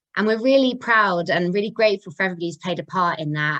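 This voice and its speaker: In a Coventry accent, a woman speaks at a medium pitch against a quiet background. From English Midlands, Coventry. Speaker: charity chief executive, webinar host. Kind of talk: webinar presentation. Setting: video call.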